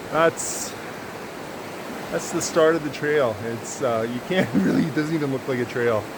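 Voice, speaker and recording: With ordinary pitch variation, a man speaks at a fairly high pitch and a moderate pace with long, frequent pauses, amid audible room echo and noticeable background noise. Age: 50s. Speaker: vanlife vlogger and trader. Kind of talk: casual vlog talk. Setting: outdoors. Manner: relaxed, many fillers.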